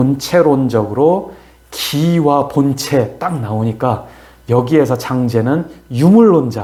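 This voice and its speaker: Somewhat breathy and dark, mellow in tone, a man speaks at a very slow pace with ordinary pitch variation, and room echo can be heard. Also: medium pitch for a man. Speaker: philosophy scholar explaining a classical text. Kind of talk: lecture-style discussion. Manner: hesitant, many fillers.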